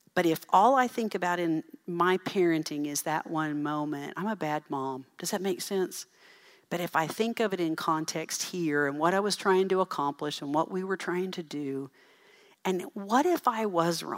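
A woman with an unremarkable speaking voice and fairly low pitch talks at a moderate pace with ordinary pitch variation, recorded very cleanly over a silent background. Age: 50s. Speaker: parenting speaker. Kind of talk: conference talk.

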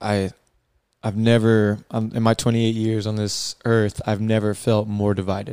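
A man with an American accent speaks in a fairly low, dark, mellow voice. His intonation is monotone and flat. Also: moderate pace. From South Carolina (Columbia), US South. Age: 20s. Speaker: podcast host, coach. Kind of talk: casual serious discussion.

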